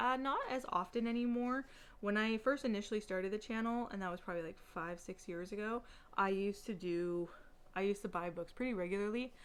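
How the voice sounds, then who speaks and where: Pitch rises and falls in a normal way as the words come at an unhurried, middling speed. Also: woman. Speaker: book YouTuber. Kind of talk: casual vlog chat. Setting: home apartment. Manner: filler-heavy, many likes and ums.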